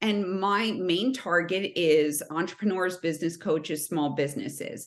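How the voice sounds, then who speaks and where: A woman with a New Jersey accent speaks at a moderate pace with a fairly low pitch and very even loudness. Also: ordinary pitch variation. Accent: New Jersey American. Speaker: sales consultant. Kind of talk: podcast interview.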